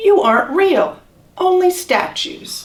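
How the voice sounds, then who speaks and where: A squeaky, put-on character voice at a fairly slow pace. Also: woman. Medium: read story.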